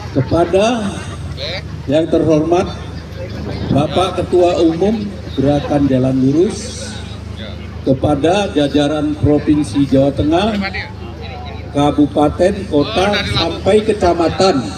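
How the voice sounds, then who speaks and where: With lively intonation and very even loudness, a man speaks at a fairly high pitch and very slow pace, leaving long, frequent pauses amid noticeable background noise. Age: 70s. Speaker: regional organizer of a civic movement. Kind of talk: speech at outdoor rally.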